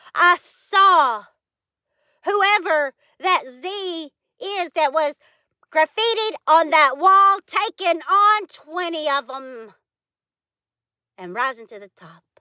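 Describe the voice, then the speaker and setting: A woman with extremely high pitch and a bright, sharp tone uses a raised, projected voice with lively intonation and big swings in loudness. She talks at a very slow pace with long, frequent pauses. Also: dry, close sound with no echo, very clean recording, silent background. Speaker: vlogger. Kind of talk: personal monologue.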